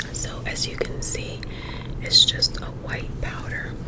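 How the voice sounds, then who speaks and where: Noticeable background noise runs through the clip. Over it, a woman is whispering. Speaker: ASMR content creator. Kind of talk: makeup tutorial talk to camera.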